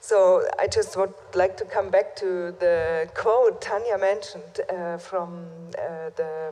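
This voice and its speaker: A woman with a German accent speaks at a very slow pace. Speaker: conference moderator. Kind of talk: panel discussion. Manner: halting. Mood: earnest, critical. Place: hall. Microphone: podium.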